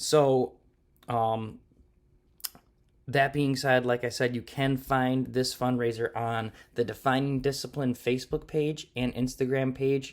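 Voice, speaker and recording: On a very clean recording with a silent background, a man talks at a medium pitch with fairly even intonation. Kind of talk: solo podcast monologue. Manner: hesitant with fillers.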